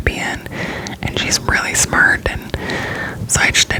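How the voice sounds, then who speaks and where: A woman whispering at a moderate pace, with music in the background. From Florida, US South. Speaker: ASMR creator. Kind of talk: whispered ramble. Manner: gum chewing.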